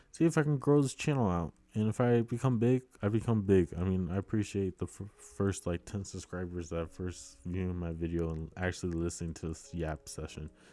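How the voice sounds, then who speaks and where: Music plays behind a man with an American accent whose very deep, low voice carries lively intonation. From US, military bases. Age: 20s. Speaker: YouTuber. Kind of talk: casual vlog monologue. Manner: halting, filler-heavy.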